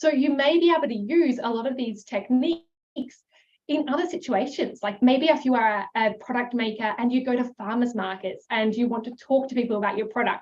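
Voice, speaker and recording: The voice is loud, moving at a fairly quick pace with ordinary pitch variation. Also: woman, high pitch for a woman. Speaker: herbal business coach. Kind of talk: live webinar masterclass. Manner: animated.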